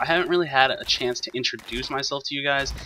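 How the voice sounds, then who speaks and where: Over noticeable background noise, a man with an American accent talks at a very fast pace in a fairly high pitch. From Texas, Houston area. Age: 20s. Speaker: gaming YouTuber. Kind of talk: gameplay commentary, personal intro. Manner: casual, hesitant with fillers.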